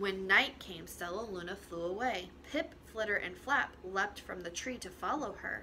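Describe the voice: A plain reading aloud of the text.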